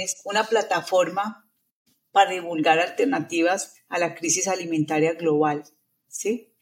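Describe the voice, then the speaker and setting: Using a plain, everyday voice, a woman speaks at medium pitch and a fairly slow pace with lively intonation. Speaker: nutritionist, retired professor. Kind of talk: interview conversation.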